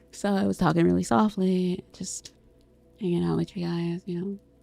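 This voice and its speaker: A woman's fairly low-pitched voice with ordinary pitch variation, music in the background. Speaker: vtuber streamer. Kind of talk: casual chat. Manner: animated; fast.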